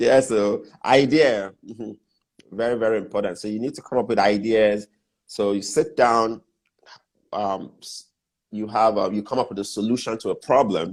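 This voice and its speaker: On a very clean recording with a silent background, a man speaks at medium pitch with fairly even intonation. His moderate pace is broken by long, frequent pauses. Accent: Nigerian. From Nigeria. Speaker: business mentor and entrepreneur. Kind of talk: interview on business advice.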